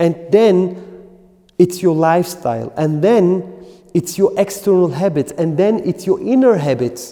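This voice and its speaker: With a dark, mellow tone and a high pitch, a man talks at a fairly slow pace with ordinary pitch variation. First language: German. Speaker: qigong teacher. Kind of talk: lecture. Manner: halting.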